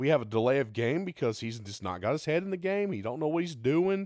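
A man's voice with very wide pitch swings, dry and close with no echo, on a very clean recording with a silent background. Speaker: podcast host and college football fan. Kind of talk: angry rant about bad officiating, indignant. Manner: indignant, emphatic, repeating for emphasis.

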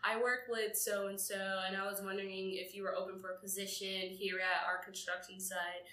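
A woman with an American accent speaks at a fairly quick pace with hardly any pauses, her pitch medium and her tone bright and sharp. Her intonation is monotone and flat, and there is audible room echo. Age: 20s. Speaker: podcast co-host. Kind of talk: casual chat.

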